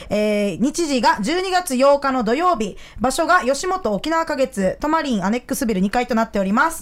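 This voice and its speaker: Her pitch high and swinging very widely, a woman speaks at a moderate pace with hardly any pauses. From Okinawa, Japan. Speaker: stand-up comedian. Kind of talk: casual chat.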